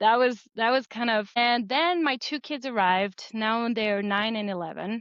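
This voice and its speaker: A woman with a French accent at a moderate pace, against a quiet background. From France. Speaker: board game creator. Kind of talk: interview.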